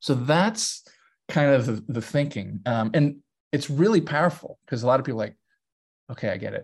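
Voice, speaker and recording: A man speaks with a fairly high pitch and lively intonation, his somewhat breathy voice broken by long, frequent pauses. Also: moderate pace. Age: 40s. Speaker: DEI consultant and author. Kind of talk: interview conversation.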